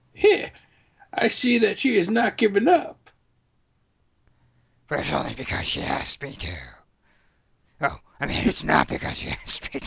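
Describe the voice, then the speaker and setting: A raspy, strained, hoarse male voice at an extremely high pitch, moderate pace, with long, frequent pauses. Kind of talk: comic overacting of game dialogue. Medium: game stream. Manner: gruff, reluctant, then wistful.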